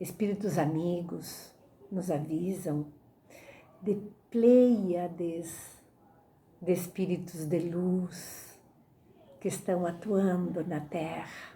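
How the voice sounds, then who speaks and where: The voice is dark, mellow and somewhat breathy, moving at a very slow pace with fairly even intonation and long, frequent pauses, and audible room echo. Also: woman, fairly low pitch for a woman. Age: 60s. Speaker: spiritist lecturer. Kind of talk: religious lecture. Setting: online talk.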